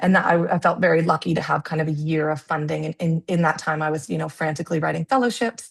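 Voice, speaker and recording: At a very fast pace and with hardly any pauses, a somewhat breathy voice moves through ordinary pitch variation in a dry, close sound with no echo. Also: woman, very deep, low pitch for a woman. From Canada. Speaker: public health researcher. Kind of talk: webinar presentation. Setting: video call. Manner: halting, many fillers.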